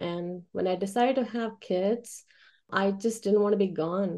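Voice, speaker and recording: A woman with an American accent uses an ordinary speaking voice at a moderate pace. Her intonation is fairly even, and the background is quiet. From India (Chennai) then Oklahoma. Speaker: web marketing business owner. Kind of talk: speech to networking group.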